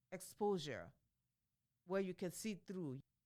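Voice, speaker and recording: Medium in pitch, a woman talks at a fairly slow pace with lively intonation. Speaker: podcast host. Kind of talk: motivational podcast talk. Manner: casual, conversational.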